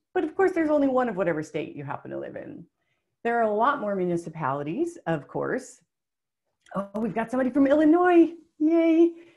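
Against a quiet background, a woman with an American accent talks at a fairly quick pace in a high pitch, with very wide pitch swings and big swings in loudness. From US small town. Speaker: webinar presenter. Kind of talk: webinar presentation. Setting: webinar. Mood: friendly, upbeat. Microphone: webcam.

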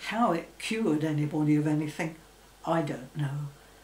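With audible room echo and light background noise, a woman speaks at a moderate pace in a fairly low pitch. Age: 80s+. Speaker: former secretary. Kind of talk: interview answer. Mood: reflective, calm. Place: home room.

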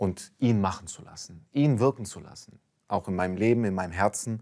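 The background is quiet. A man with a fairly low pitch talks at a moderate pace with ordinary pitch variation. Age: young. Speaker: convert sharing faith story; interview guest. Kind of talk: testimony. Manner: halting with many fillers. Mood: calm, reflective, personal. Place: studio. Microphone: lapel.

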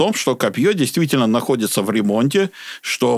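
Natural-voiced reading aloud.

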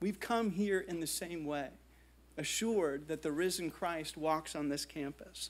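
High-pitched man with an American accent, fairly slow pace and ordinary pitch variation. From US (New Jersey, Indiana; partly Brazil). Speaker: art history professor. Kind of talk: lecture. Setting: stage with audience. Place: hall. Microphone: podium.

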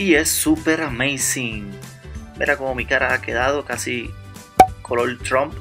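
Over music in the background, a man with a Puerto Rican accent talks in a playful tone at a fairly slow pace. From Puerto Rico. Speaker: blogger. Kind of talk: comedic voice-over narration of a makeup tutorial. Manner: joking, playful, rambling.

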